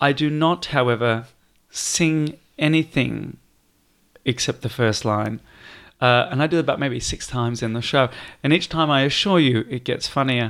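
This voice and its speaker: On a very clean recording with a silent background, a man with a British accent talks at a moderate pace and medium pitch with ordinary pitch variation. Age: 20s. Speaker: performer. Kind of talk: casual chat.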